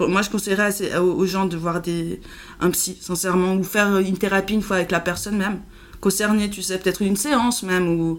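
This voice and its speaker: This woman talks fairly quickly at a medium pitch, her intonation fairly even. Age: 30s. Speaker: podcast guest sharing mental illness experience. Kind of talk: casual chat. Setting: at her home. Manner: halting.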